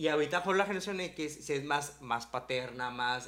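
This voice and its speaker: A man talks in an unremarkable speaking voice. His pitch is fairly high, with ordinary variation. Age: 30s. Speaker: podcast host. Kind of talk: casual chat.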